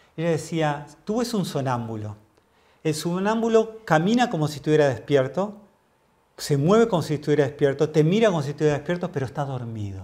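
Over a quiet background, a fairly high-pitched man talks at a fairly quick pace with very wide pitch swings. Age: 50s. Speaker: mindfulness teacher; interview guest, mindfulness teacher. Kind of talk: interview. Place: home room.

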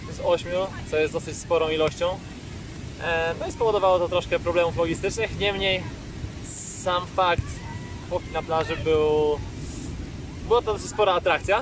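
A high-pitched man speaks at a moderate pace with fairly even intonation and long, frequent pauses. The sound is dry with no echo, but background noise is noticeable. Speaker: volleyball coach. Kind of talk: casual vlog chat. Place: beach. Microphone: phone near.

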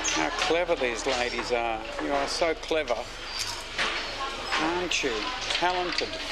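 Loud background noise sits behind a man with an Australian accent. He leaves long, frequent pauses. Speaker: visiting tourist narrating. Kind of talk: casual travel vlog narration. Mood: admiring, warm. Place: workshop. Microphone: phone near.

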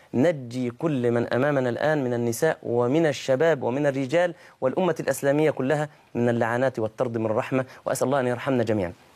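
At a moderate pace, a man of medium pitch speaks with ordinary pitch variation. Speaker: Islamic preacher. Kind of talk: sermon.

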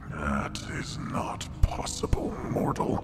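A man whispers in a put-on character voice at a very slow pace over loud background noise. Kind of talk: ominous fantasy villain speech. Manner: cold, contemptuous, weary.

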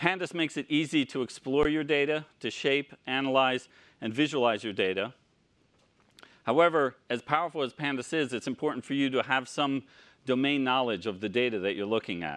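Over a quiet background, a man speaks. His pace is fairly quick. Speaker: conference speaker. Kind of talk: lecture. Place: hall.

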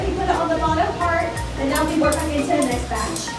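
Over loud background music, a woman talks at a very fast pace. Audible room echo colors the sound. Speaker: factory tour guide. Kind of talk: guided tour commentary. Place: factory. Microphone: camera far.

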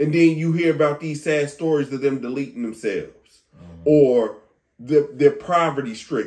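Animated and fairly high-pitched, a man speaks at a moderate pace with ordinary pitch variation and big swings in loudness. The background is quiet. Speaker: podcast host. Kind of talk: casual chat. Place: home room. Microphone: camera far.

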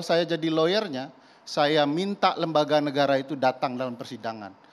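The speaker is a man. He talks at a moderate pace. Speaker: guest. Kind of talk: televised talk show debate. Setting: TV studio. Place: studio.

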